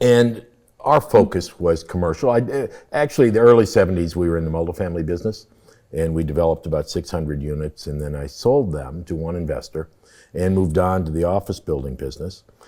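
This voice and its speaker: A man with a Midwestern American accent speaks at a very fast pace, his very deep, low pitch carrying lively intonation and a dark, mellow tone. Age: 70s. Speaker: real estate developer. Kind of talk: interview.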